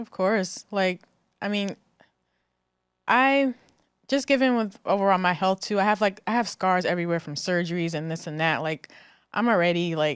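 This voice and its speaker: A woman in an American accent speaks at a moderate pace and medium pitch with lively intonation and long, frequent pauses, on a very clean recording with a silent background. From New Jersey. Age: 30s. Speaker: breast cancer survivor. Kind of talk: interview answer. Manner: hesitant, casual.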